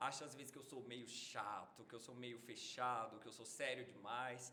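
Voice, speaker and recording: With a bright, sharp tone and a medium pitch, a man speaks at a moderate pace in a monotone, flat delivery, his loudness swinging widely as the room echo comes through. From northern Minas Gerais, Brazil (near Bahia border). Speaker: medical doctor. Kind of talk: casual podcast interview.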